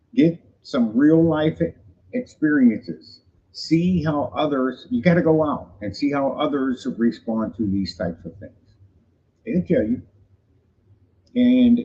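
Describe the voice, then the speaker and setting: A man's dark, mellow, somewhat breathy voice, fairly high in pitch, with very wide pitch swings and a very slow pace. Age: 60s. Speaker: vlogger giving life advice. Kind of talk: casual livestream monologue. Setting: live stream at home. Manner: halting, stammering.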